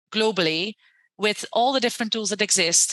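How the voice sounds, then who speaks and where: Recorded with a dry, close sound, no echo and a quiet background, a woman with a fairly high pitch speaks at a moderate pace. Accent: Dutch. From Netherlands. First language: Dutch. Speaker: university lecturer and education entrepreneur. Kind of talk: podcast interview.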